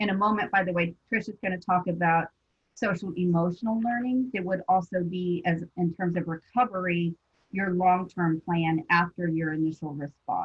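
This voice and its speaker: A woman with an unremarkable speaking voice talks at a fairly low pitch. Her pace is moderate and her intonation fairly even. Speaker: school psychologist presenter. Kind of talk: professional webinar presentation.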